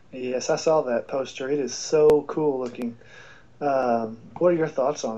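A man with a plain, everyday voice speaks at a moderate pace, his fairly high pitch held in fairly even intonation. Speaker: podcast co-host. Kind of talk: casual chat. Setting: video call.

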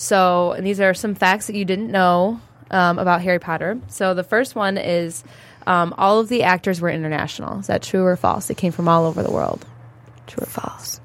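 This woman has a normal speaking voice at a medium pitch, talking at a moderate pace with ordinary pitch variation. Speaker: podcast host. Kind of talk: casual chat. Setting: studio.

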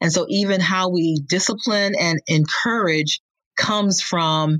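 A woman with a fairly low pitch speaks at a fairly slow pace, with ordinary pitch variation. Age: 50s. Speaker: homeschool educational strategist and author. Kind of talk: interview. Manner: halting, frequent fillers.

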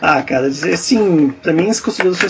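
Background music plays throughout. A man's words come at a very fast pace. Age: 20s. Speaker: film podcast guest. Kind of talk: casual chat.

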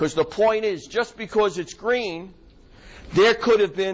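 This man talks at a moderate pace. He has a New York accent. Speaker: optometrist lecturer. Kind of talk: lecture to a live audience. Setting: lecture hall with audience. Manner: informal, filler-heavy, conversational.

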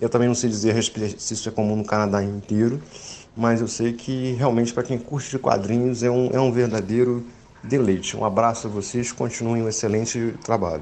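Noticeable background noise is present. Over it, a man talks fairly quickly. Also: medium pitch for a man. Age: 40s. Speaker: listener sending audio message. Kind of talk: recorded voice message.

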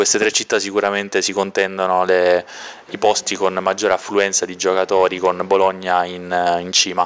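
Monotone and flat in intonation, a man speaks at a moderate pace with a very deep, low pitch. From Sicily, province of Trapani. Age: 20s. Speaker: competitive card game player. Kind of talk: interview answers.

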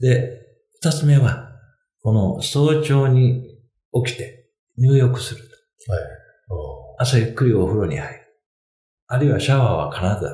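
A man speaks at a fairly slow pace and medium pitch with ordinary pitch variation, his dark, mellow tone somewhat breathy, with big swings in loudness, long, frequent pauses and audible room echo. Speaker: financial consultant. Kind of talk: casual chat. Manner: halting with many fillers.

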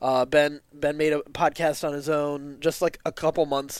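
Recorded very cleanly against a silent background, a man with a normal speaking voice talks at a moderate pace with a fairly high pitch. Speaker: podcast co-creator. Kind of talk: casual interview chat.

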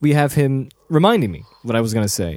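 A man's pitch varies in a normal way on a very clean recording where the background is silent. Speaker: podcast co-host. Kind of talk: casual chat. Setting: studio. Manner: fast; loud.

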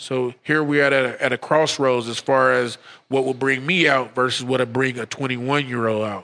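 An unremarkable speaking voice belongs to a man who talks fairly quickly at a medium pitch with fairly even intonation. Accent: American. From St. Louis, then California. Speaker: brewer and brewery co-owner. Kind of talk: casual chat.

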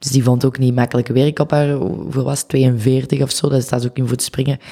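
Very deep and low in pitch with a dark, mellow tone, a woman speaks fairly quickly in a monotone, flat delivery. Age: 20s. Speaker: photographer. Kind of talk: casual chat.

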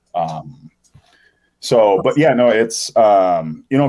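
A man with an American accent speaks in a fairly low voice with a dark, mellow tone. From US Midwest, St. Paul, Minnesota. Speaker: city council candidate. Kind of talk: interview. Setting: radio studio.

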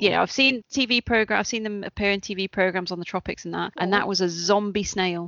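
A plain, everyday voice from a woman at medium pitch, with fairly even intonation and hardly any pauses. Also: fairly quick pace. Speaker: podcast co-host. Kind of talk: casual interview chat.

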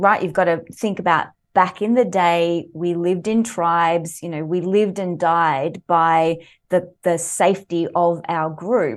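Speaking at a fairly slow pace with an Australian accent, a woman with a fairly low pitch is heard over a quiet background. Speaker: leadership coach and author. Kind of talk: interview. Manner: animated.

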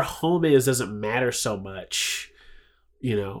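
Very slowly, a man talks with an American accent. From US, Philadelphia and Chicago's South Side. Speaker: interview guest, community media worker. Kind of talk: casual interview chat. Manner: animated.

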